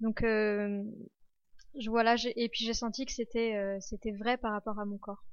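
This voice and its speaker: Pitched fairly high, a woman talks at a fairly slow pace in a monotone, flat intonation, leaving long, frequent pauses. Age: 20s. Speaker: history student. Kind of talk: testimony. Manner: halting.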